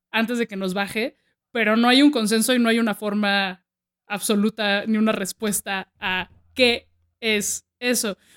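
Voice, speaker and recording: A woman with a fairly high pitch speaks in an animated tone at a fairly slow pace. The sound is dry and close, with no echo. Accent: Mexican. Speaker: podcast host. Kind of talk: casual chat.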